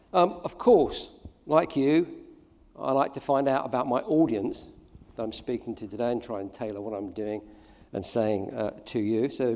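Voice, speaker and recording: Talking at a fairly quick pace with an English accent, a man has a medium pitch, a dark, mellow tone and ordinary pitch variation. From England. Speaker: keynote speaker, social marketing professor. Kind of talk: conference keynote. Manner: hesitant, many fillers.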